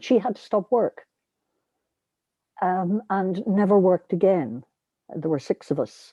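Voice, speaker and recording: Speaking at a fairly slow pace with long, frequent pauses, a woman with a medium pitch and a dark, mellow tone uses lively intonation and big swings in loudness, recorded dry and close with no echo over a quiet background. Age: 70s. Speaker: charity board chair, former politician. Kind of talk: group discussion, personal recollection.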